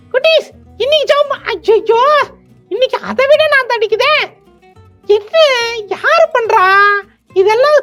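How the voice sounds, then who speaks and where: Over faint background music, a cartoonish character voice at an extremely high pitch moves at a fairly slow pace. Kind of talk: children's puppet show dialogue.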